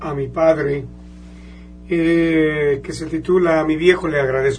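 A man with a fairly high voice talks at a fairly slow pace with fairly even intonation. Room echo is audible, and background noise is noticeable. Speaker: mariachi musician. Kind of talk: radio interview. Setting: radio studio.

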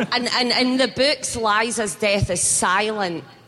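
A fairly high female voice with lively intonation over noticeable background noise. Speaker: actress. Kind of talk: panel discussion. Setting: stage with audience.

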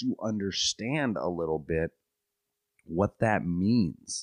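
A man's very deep, low voice in a dry, close sound with no echo against a quiet background. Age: 30s. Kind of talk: solo podcast monologue.

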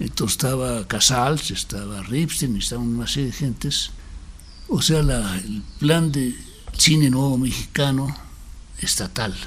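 Noticeable background noise sits under a man speaking at a fairly slow pace with ordinary pitch variation. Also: medium pitch for a man. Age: 80s+. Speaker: documentary filmmaker. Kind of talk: interview.

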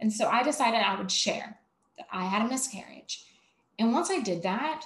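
Speaking at a moderate pace, a woman with an American accent has a fairly high, somewhat breathy voice and lively intonation. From US South, Savannah, Georgia. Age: 30s. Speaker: mental health speaker. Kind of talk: casual interview.

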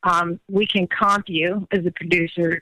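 Recorded dry and close with no echo, a woman speaks at a medium pitch in a bright, sharp tone with fairly even intonation. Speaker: caller.

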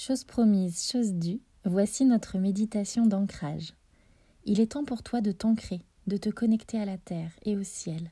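A woman with a medium pitch and ordinary pitch variation speaks at a fairly slow pace in a gentle, soothing tone that is dark, mellow and somewhat breathy. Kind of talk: guided meditation, visualisation of roots growing into the earth. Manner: slow, soft, soothing, with long pauses; gentle, addressing listener as tu.

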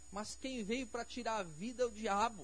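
Fairly even intonation in a man's high voice. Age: 40s. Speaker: pastor. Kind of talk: sermon. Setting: church.

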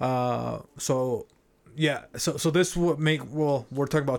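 A fairly slow delivery with a Mexican accent and ordinary pitch variation, in a very clean recording with a silent background. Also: man. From Mexico City, Mexico. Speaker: podcast co-host. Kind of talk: casual chat.

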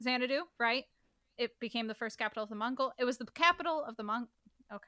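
In a dry, close recording with no echo, a woman speaks at a fairly quick pace with a bright, sharp tone, high pitch and ordinary pitch variation. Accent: Midwestern. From US Midwest. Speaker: podcast co-host. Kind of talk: casual chat.

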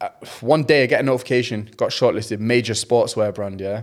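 The speaker has a Mancunian accent. The pace is moderate and the intonation fairly even. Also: man. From Manchester, England. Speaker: content creator. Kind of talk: casual chat.

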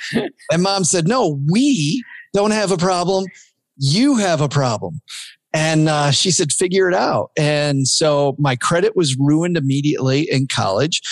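An animated tone and lively intonation at a fairly slow pace, very even in loudness, against a quiet background. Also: man, fairly high pitch for a man. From US Midwest, southwest Michigan. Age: 50s. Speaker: podcast host, former financial planner. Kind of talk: casual interview chat.

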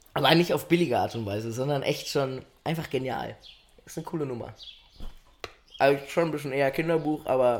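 A man speaks at a fairly quick pace in a fairly high voice, with ordinary pitch variation, long and frequent pauses, and noticeable background noise. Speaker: podcast co-host. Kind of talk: casual chat.

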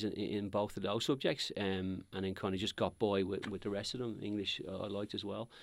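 On a very clean recording with a silent background, a man with a Dublin accent talks at a fairly quick pace with hardly any pauses, his fairly low voice held in a monotone, flat intonation. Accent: Dublin Irish. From Dublin, Ireland (Crumlin, working class). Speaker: property company executive. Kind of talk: interview.

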